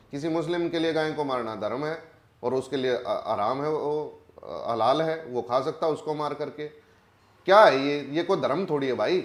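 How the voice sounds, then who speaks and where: A man with a Haryana accent speaks at a fairly high pitch with ordinary pitch variation. Noticeable background noise runs behind him. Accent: Haryanvi. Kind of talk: interview answer. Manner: forceful, blunt.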